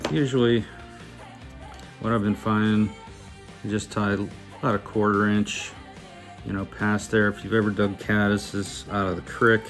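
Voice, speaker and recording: In an American accent, a man with a fairly low pitch and a relaxed tone speaks at a moderate pace with fairly even intonation and long, frequent pauses, with music in the background. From Pittsburgh, Pennsylvania. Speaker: fly tyer. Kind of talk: fly tying tutorial. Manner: casual, relaxed.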